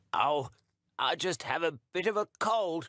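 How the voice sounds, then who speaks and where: A man puts on a croaky character voice with a high pitch. He goes at a fairly slow pace, in a dry, close sound with no echo. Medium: read story.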